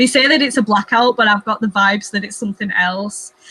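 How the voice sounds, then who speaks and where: A woman with an English accent speaks at a fairly quick pace in a fairly high voice, her intonation fairly even, with noticeable background noise behind her. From England. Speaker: booktuber. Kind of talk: casual chat.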